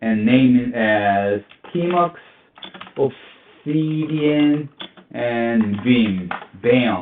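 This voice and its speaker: A man with a non-native accent speaks at a very slow pace with lively intonation. Long, frequent pauses break up his speech. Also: medium pitch for a man. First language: not English. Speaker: cybersecurity tutorial youtuber. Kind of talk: screen-recorded tutorial. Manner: halting, many fillers.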